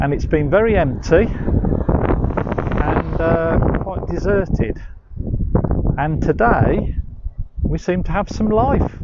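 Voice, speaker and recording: A man speaks at a very slow pace. He leaves long, frequent pauses, and there is noticeable background noise. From West Midlands, England. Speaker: walking tour guide. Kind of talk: live-streamed walking tour. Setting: outdoors on a walk. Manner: casual, hesitant with fillers.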